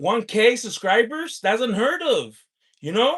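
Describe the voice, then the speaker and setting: A man speaks loudly in an animated tone. His pace is fairly slow. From US, California. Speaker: lottery scratcher livestreamer. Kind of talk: livestream chat with viewers. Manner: animated, hyped.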